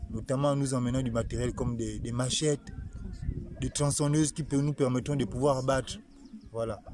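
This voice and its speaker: A man's medium-pitched voice at a fairly quick pace, fairly even in intonation, with long, frequent pauses. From Gabon, Nyanga province. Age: young. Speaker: farmer. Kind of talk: interview. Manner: halting.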